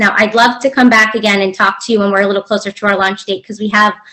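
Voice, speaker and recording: A woman with an American accent speaks at a fairly high pitch, her intonation fairly even, over noticeable background noise. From United States. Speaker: business community manager. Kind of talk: online event presentation. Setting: video call.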